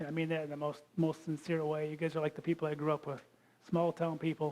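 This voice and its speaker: Dark and mellow in tone, this voice with a Michigan accent races along at a very fast pace in a flat monotone. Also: man. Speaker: geologist and creation science speaker. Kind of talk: lecture. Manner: casual and joking.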